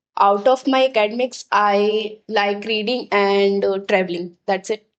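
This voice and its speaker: A woman speaks with an Indian accent. Her pace is fairly slow. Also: medium pitch for a woman, fairly even intonation. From Bihar, India. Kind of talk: casual podcast conversation.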